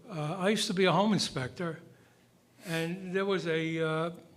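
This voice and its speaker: A fairly slow pace with audible room echo. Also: man. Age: 80s+. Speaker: resident speaking at public comment. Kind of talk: public comment at town meeting. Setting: town hall meeting.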